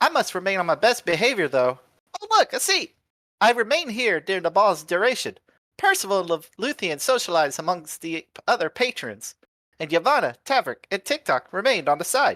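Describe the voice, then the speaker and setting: Putting on a character voice, a man speaks at a high pitch and a fairly quick pace. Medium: game stream. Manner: chirpy, mechanical, excitable.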